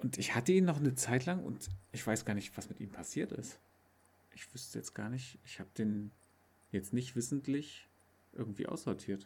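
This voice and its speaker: Somewhat breathy, a man of medium pitch speaks with lively intonation, big swings in loudness, and long, frequent pauses. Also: moderate pace. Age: 30s. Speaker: podcast co-host. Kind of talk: casual chat.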